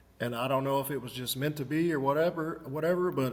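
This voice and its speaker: Here a man speaks with a fairly high pitch. His intonation stays fairly even. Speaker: inventor. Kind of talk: interview. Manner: soft-spoken.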